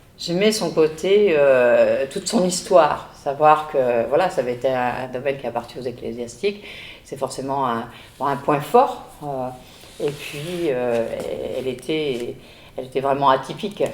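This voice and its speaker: Over noticeable background noise, a woman with a very deep, low pitch speaks at a fairly slow pace with lively intonation. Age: 70s. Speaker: grandmother revisiting former home. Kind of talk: casual chat. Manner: halting.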